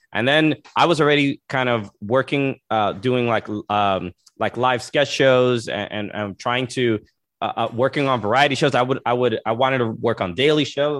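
At a moderate pace, a man speaks in an unremarkable speaking voice of medium pitch with ordinary pitch variation. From New York, Brooklyn, Dominican family. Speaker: comedian and soccer podcaster. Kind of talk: casual interview.

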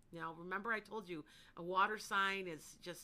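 A loud woman's voice with a bright, sharp tone, medium pitch, ordinary pitch variation and a moderate pace. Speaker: psychic. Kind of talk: live psychic readings for callers. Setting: online live stream with chat comments.

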